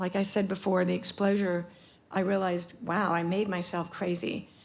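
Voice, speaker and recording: A woman's medium-pitched voice in an American accent, with monotone, flat intonation. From US South, Atlanta, Georgia. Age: 60s. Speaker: photographer. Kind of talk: conference talk presenting work. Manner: halting, many fillers.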